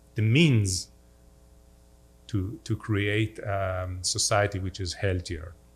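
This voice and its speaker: On a very clean recording with a silent background, a man with a fairly low pitch speaks at a very slow pace, somewhat breathy. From Israel, upper Galilee (Safed). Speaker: diplomat. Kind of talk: talk with audience Q&A. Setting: synagogue hall with audience, livestreamed.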